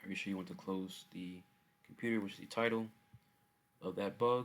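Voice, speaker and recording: This man talks at a fairly low pitch with ordinary pitch variation. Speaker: student presenting a software project. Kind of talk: software demo walkthrough. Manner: casual with filler words.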